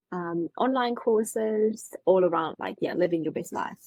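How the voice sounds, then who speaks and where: A woman speaks with a German accent and lively intonation. Her pace is fairly slow, and the sound is dry and close with no echo. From Germany. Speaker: mindset coach and author. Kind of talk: podcast interview.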